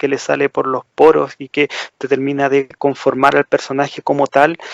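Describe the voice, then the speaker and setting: The voice belongs to a man with a fairly high pitch. He talks at a moderate pace, and the sound is dry and close with no echo. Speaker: podcast co-host. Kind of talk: casual chat.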